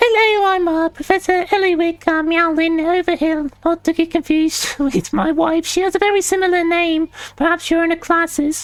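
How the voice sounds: The voice is a put-on character voice at an extremely high pitch. It moves at a moderate pace. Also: hardly any pauses.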